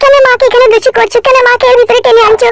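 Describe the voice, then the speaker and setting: At a fairly quick pace, a cartoonish character voice chatters at an extremely high pitch. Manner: plaintive, melodramatic.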